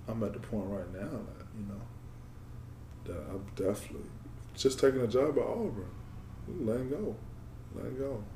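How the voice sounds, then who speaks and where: Audible room echo surrounds a man speaking at a moderate pace, his loudness swinging widely. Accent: American. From Georgia, US. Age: 20s. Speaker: former football player. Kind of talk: interview conversation. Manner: halting.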